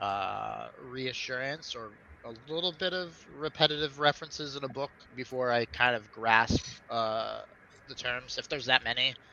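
A man's medium-pitched voice at a moderate pace with ordinary pitch variation. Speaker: fantasy author. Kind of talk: casual chat. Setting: video call. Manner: blunt.

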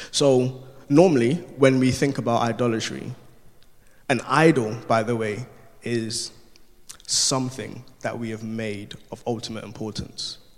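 A man with a medium-pitched voice talks at a fairly slow pace with fairly even intonation, long and frequent pauses, and big swings in loudness, with audible room echo. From Ghana. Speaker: youth work apprentice preacher. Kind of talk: sermon. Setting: church.

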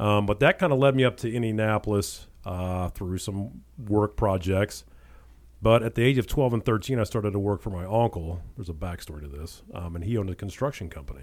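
A man's fairly low-pitched, normal speaking voice at a fairly quick pace. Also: lively intonation. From Ohio, Cleveland suburbs, then southern Indiana/Kentucky. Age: 40s. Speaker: real estate agent. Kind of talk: casual interview chat.

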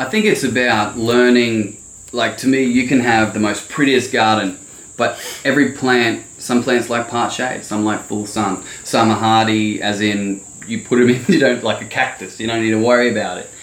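Someone with an Australian accent speaks at a moderate pace and fairly even intonation, with audible room echo and noticeable background noise. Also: man, medium pitch for a man. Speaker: landscaping business owner. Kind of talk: casual chat.

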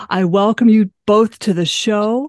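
Against a quiet background, a woman speaks at a medium pitch with ordinary pitch variation, the sound dry and close with no echo. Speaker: podcast host. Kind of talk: interview.

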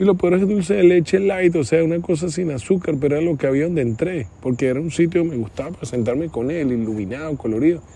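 With hardly any pauses, a man races along at a very fast pace in a dark, mellow tone with lively intonation. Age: 40s. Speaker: podcast host, mentor. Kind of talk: solo reflective monologue. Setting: outdoors at night outside his house. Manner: halting, repetitive.

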